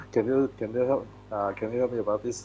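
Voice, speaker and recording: Music plays in the background as a man speaks. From Malaysia. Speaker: photographer. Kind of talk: presentation. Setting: live stream video call. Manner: halting, many fillers.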